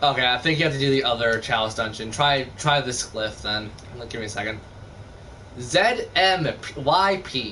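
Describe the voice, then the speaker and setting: A man with a medium pitch speaks at a moderate pace and with lively intonation, amid noticeable background noise and audible room echo. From Canada. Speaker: gaming streamer. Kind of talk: casual chat.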